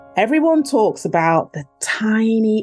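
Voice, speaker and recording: With an East Midlands accent, a woman talks at a very slow pace in a dark, mellow tone with lively intonation. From Nottingham, England. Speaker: poet and spoken word artist. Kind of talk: poetry performance, read aloud; casual interview chat. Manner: measured, lyrical, expressive delivery.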